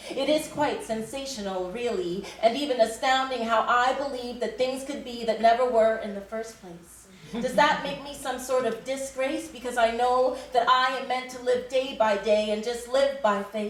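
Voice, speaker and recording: A high-pitched woman at a moderate pace with hardly any pauses, ordinary pitch variation, big swings in loudness and noticeable background noise. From Canada. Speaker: spoken word poet. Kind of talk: spoken word poetry performance. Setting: live stage.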